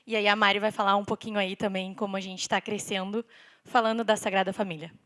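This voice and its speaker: Speaking at a very fast pace, a woman with a medium-pitched voice keeps a monotone, flat intonation on a very clean recording with a silent background. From southern Brazil (Rio Grande do Sul). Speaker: civil engineer and sales director. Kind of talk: conference talk. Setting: stage with audience.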